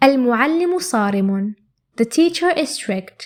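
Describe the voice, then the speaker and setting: In an Arabic accent, a woman speaks at a fairly slow pace with a high pitch and very wide pitch swings. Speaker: Arabic language teacher. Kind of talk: tutorial. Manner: clear and measured.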